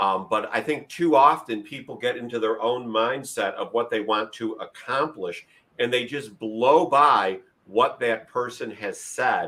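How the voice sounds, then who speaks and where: A man's bright, sharp tone at medium pitch, fairly slow pace, ordinary pitch variation. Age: 50s. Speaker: leadership podcast host. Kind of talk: interview.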